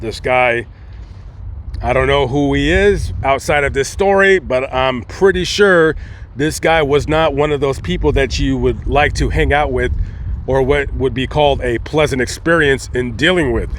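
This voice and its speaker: Noticeable background noise accompanies this man as he talks at a moderate pace. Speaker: cemetery vlogger. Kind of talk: casual vlog narration. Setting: outdoors in a cemetery. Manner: animated.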